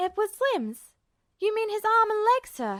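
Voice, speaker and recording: A woman puts on a squeaky character voice at an extremely high pitch, talking at a moderate pace in a dry, close sound with no echo. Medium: read story. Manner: calm, steady, sure.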